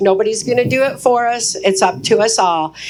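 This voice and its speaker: A woman with an American accent and an ordinary speaking voice, fairly high in pitch, at a moderate pace with lively intonation. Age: 60s. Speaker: activist speaker. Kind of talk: keynote speech.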